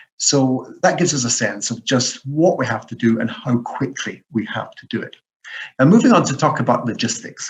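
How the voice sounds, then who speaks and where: A man with a Scottish accent, somewhat breathy, at a moderate pace. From Scotland. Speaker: professor. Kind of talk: lecture. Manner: hesitant with many fillers.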